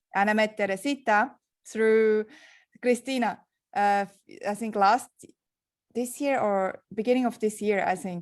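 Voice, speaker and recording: A woman with a strong Swiss accent speaks at a fairly high pitch and a fairly slow pace, using fairly even intonation. She leaves long, frequent pauses, and the recording is very clean with a silent background. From Switzerland. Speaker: entrepreneur. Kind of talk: panel interview.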